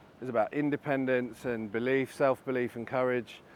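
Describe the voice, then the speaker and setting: At a moderate pace, a man with a British accent speaks with fairly even intonation. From Britain. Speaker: advertising and tech executive. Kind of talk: interview.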